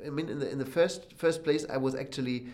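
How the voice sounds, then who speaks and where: A man with a German accent speaks using vocal fry. The room echo is audible. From Germany, Berlin. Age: 30s. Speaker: concert pianist. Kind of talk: interview. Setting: backstage dressing room. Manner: halting.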